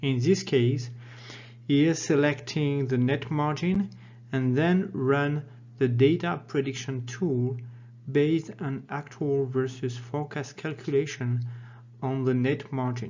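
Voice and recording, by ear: The delivery is slow, with a slightly mellow tone and fairly even intonation. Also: man, medium pitch for a man.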